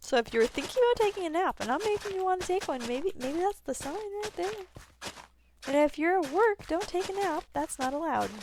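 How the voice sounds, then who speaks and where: With lively intonation and an extremely high pitch, a woman talks at a fairly quick pace over noticeable background noise. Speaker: video game streamer. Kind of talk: live gameplay stream chat. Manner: sleepy, drowsy.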